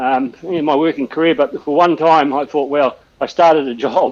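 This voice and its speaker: A man with a New Zealand accent speaks at a fairly high pitch. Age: 60s. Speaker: telecom copper-line technician and cyclist. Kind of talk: casual chat during online cycling ride. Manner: hesitant, many fillers and restarts.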